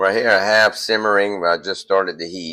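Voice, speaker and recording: Over music in the background, a man in a Louisiana accent speaks at a moderate pace with monotone, flat intonation. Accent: US Southern (Louisiana). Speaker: homesteader, cooking video host. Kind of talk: tutorial. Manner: casual, halting with fillers.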